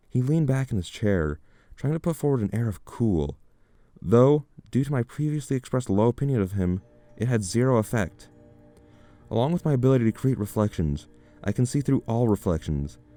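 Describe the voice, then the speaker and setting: Music plays in the background as a man speaks at a fairly quick pace with lively intonation and long, frequent pauses, in a dry, close sound with no echo. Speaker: story narrator. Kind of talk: horror story narration.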